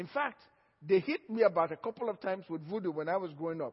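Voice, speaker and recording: With an African accent, a man speaks at a fairly quick pace. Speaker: pastor. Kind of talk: sermon.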